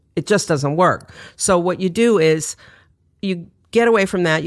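A woman with an American accent has a plain, everyday voice at a fairly low pitch with ordinary pitch variation. The recording is very clean, with a silent background. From New York City. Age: 60s. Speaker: author and designer. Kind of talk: casual interview chat.

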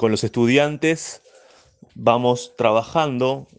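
Quiet background, ordinary pitch variation. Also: man. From La Plata, Argentina. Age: 20s. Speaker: banjo teacher. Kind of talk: interview. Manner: hesitant.

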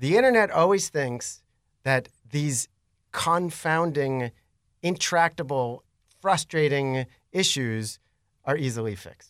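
The speech is very slow, with long, frequent pauses and lively intonation. The sound is dry and close with no echo, on a very clean recording with a silent background. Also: man, fairly high pitch for a man. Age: 40s. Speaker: local blog creator. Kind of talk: casual interview conversation.

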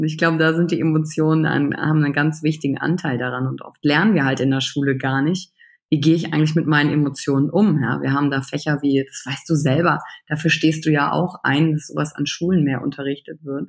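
The speaker moves along at a fairly quick pace. The intonation stays fairly even. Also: woman, very deep, low pitch for a woman. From western Germany, Wülfrath near Wuppertal (NRW). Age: 30s. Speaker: emotional intelligence coach. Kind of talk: podcast interview. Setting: remote call from home computer.

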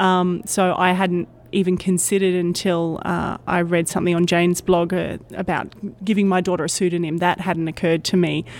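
A woman with an Australian accent speaks fairly quickly in a fairly low voice. Her intonation is flat and monotone, and her loudness stays very even. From Australia, Brisbane. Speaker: technical communicator. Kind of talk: interview. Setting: conference.

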